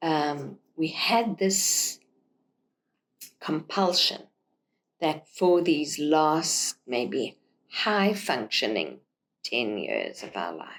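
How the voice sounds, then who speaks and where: This woman has a very deep, low pitch with vocal fry and lively intonation. She talks at a very slow pace, leaving long, frequent pauses. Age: 70s. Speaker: author and storyteller podcast host. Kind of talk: casual conversation. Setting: outdoors on a porch.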